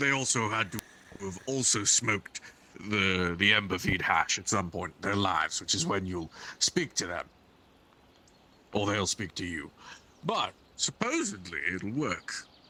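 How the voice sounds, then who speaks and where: A man uses a raspy put-on character voice at a fairly low pitch. He talks at a moderate pace with long, frequent pauses. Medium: game stream. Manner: rambling, hesitant, full of "uh" fillers.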